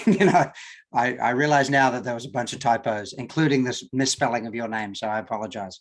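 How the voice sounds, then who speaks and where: A man with an Australian accent at a very fast pace, medium pitch and ordinary pitch variation, over a quiet background. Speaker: working group chair. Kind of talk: online meeting.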